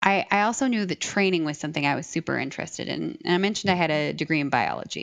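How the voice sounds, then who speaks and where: Very fast, with hardly any pauses, a woman speaks in a fairly low pitch with vocal fry. Her intonation is lively, and the background is quiet. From Iowa, US Midwest. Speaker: learning design lead, former teacher. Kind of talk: interview.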